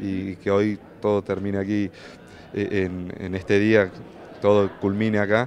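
The delivery is monotone and flat at a fairly slow pace. The sound is dry with no echo, over light background noise. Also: man. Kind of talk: interview answer. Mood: emotional, grateful. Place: hall. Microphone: handheld.

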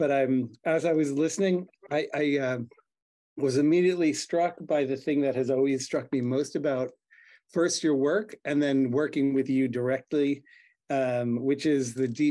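At a moderate pace, a man with a fairly high pitch and a dark, mellow tone speaks in fairly even intonation against a quiet background. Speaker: professor and exhibition curator; professor. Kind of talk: academic commentary. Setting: video call. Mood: warm, appreciative. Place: home room. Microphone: video call.

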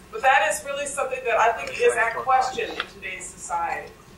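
Against light background noise and audible room echo, a woman talks very fast at a high pitch. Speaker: speaker. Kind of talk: lecture. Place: classroom. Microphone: podium.

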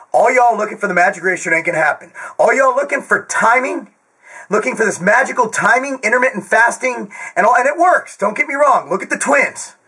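A man speaks very fast in a raised, projected voice with lively intonation, over a quiet background. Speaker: fitness vlogger. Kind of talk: casual vlog chat. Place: home room. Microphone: webcam.

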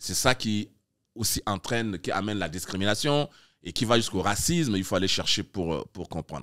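A man at a fairly low pitch with lively intonation and a moderate pace, against a quiet background. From Chad. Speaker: artistic director of a literary festival; guest. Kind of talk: interview. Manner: halting, many hesitations. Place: studio. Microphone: studio mic.

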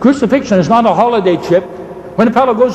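Noticeable background noise sits behind a man's high voice. He speaks at a moderate pace with ordinary pitch variation. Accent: Irish. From Ireland. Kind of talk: debate. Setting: stage with audience.

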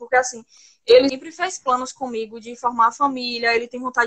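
Fairly quick, high-pitched speech from a woman. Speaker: caller seeking advice. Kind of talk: personal confession to a pastor. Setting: video call on phone. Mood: troubled, soft, earnest. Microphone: phone near.

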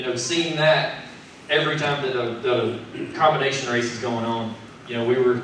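With light background noise and audible room echo, a man talks with fairly even intonation. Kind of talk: press conference speech. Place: meeting room.

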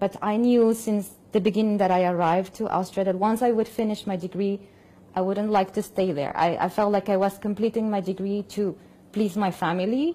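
A woman with a Spanish accent talks at a fairly quick pace in a dark, mellow tone. Her intonation stays fairly even. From Colombia. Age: 40s. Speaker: opera singer. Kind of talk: testimony. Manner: halting. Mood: calm, thoughtful. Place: home room.

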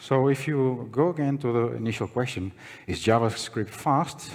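The surroundings are quiet. A man does the talking. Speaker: conference speaker. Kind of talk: conference talk. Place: hall. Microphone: podium.

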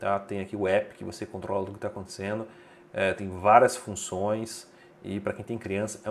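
At a fairly quick pace, the man talks while music is heard behind him. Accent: Brazilian. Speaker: tech reviewer and deals channel host. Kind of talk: sales pitch, promo deal rundown; video review / promo rundown. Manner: brisk, upbeat bargain-hunter pitch; opinionated, recommends with confidence.

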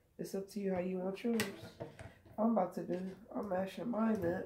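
A woman at a medium pitch with monotone, flat intonation and a moderate pace, over noticeable background noise. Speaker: cooking vlogger. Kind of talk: cooking tutorial. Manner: casual, conversational. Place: kitchen. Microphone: phone near.

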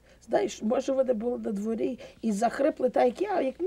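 A female-sounding voice puts on a hoarse character voice, high-pitched for a woman. She talks at a fairly quick pace.

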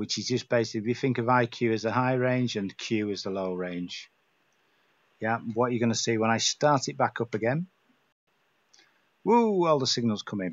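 A man speaks with a northern English accent at a moderate pace, with ordinary pitch variation. He leaves long, frequent pauses. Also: medium pitch for a man. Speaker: radio hobbyist. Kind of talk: screen-recorded software tutorial. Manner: casual, relaxed.

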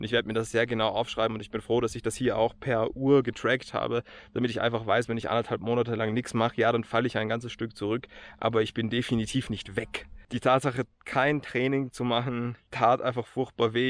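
A man's flat, monotone delivery at a fairly quick pace, dry with no echo. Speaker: hiker vlogger. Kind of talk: casual vlog chat. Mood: reflective, determined. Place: open country. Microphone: phone near.

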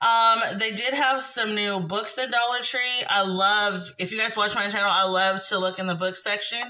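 A woman talks at a moderate pace with fairly even intonation. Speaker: haul vlogger. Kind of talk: casual vlog chat. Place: home room. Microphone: phone near.

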